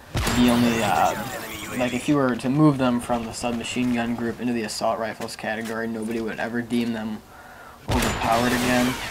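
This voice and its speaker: Delivered at a fairly quick pace in a flat monotone, the speech has audible room echo and noticeable background noise. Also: man, medium pitch for a man. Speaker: gaming commentator. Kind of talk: gameplay commentary.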